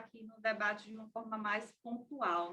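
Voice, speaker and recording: A woman speaks with a bright, sharp tone. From Sergipe, Brazil (Aracaju). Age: 30s. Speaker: film festival press officer. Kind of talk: online debate contribution. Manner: hesitant.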